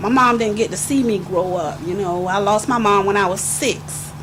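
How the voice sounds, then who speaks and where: Medium pitch from a woman, moderate pace and ordinary pitch variation, plus audible room echo and noticeable background noise. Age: 50s. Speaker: grandparent sharing life story. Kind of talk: testimony. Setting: youth meeting in a hotel.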